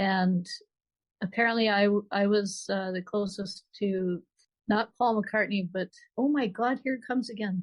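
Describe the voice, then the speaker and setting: Her voice is somewhat breathy and fairly high-pitched. The woman's pitch varies in an ordinary way. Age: 60s. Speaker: author. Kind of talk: interview. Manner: halting.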